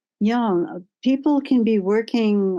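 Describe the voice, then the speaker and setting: A woman speaks in a dark, mellow tone at a fairly slow pace. Her pitch shows ordinary variation. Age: 70s. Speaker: panelist, climate educator. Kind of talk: panel discussion.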